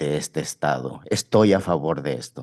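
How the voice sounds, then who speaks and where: Speaking at a moderate pace, a man uses vocal fry and a dark, mellow tone with lively intonation. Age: 60s. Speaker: member of the public commenting. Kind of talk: public comment. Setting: public board meeting. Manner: short phrases with pauses.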